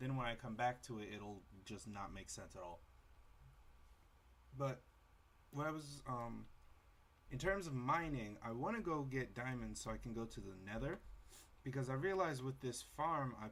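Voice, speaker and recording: Soft-spoken, a man uses lively intonation and takes long, frequent pauses. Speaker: gaming youtuber. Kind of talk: let's play commentary. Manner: halting.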